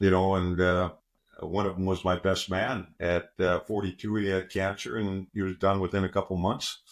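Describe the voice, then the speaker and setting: In a very deep, low voice, a man with a Canadian accent speaks on a very clean recording with a silent background. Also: moderate pace. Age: 60s. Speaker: former Olympic wrestler and pro football player. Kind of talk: podcast interview. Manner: animated.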